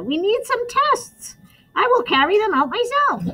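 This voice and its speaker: Putting on a character voice, a woman squeaks at an extremely high pitch with very wide pitch swings and a moderate pace. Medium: read story. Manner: brisk, matter-of-fact.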